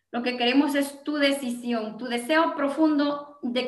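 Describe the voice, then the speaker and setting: A high, bright, sharp female voice, fairly slow with fairly even intonation, in a room with audible echo. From Guatemala (Gualán, Zacapa). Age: 40s. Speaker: network marketing entrepreneur. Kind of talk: interview with sales pitch.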